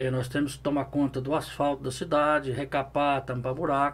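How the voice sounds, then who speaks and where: The voice is a plain, everyday voice, moving at a moderate pace. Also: man. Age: 60s. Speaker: municipal official and pig farmer. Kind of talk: interview.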